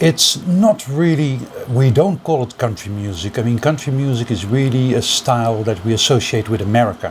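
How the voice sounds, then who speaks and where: With a Dutch accent, a man speaks at medium pitch with lively intonation and hardly any pauses. Noticeable background noise runs underneath. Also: moderate pace. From Netherlands. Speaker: music collector. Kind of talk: interview.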